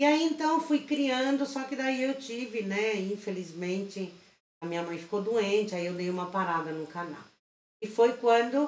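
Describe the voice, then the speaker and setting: A woman's fairly high voice at a fairly slow pace, with lively intonation. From Chile. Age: 50s. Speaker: crochet teacher and channel host. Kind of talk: live stream tutorial chat.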